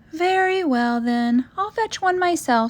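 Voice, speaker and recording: A woman uses a squeaky, put-on character voice at an extremely high pitch. She speaks at a fairly slow pace. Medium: read story. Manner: cheerful, determined.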